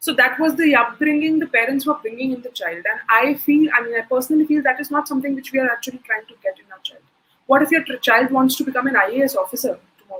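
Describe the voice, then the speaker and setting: A woman with an Indian accent talks at a very fast pace. Her voice is high, with ordinary pitch variation. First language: Hindi. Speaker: soft skills trainer. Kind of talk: webinar Q&A.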